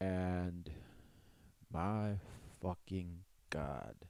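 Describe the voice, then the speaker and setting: Dark and mellow in tone, this man's voice has a very deep, low pitch. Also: very clean recording, silent background. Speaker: podcast host. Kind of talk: casual solo podcast monologue.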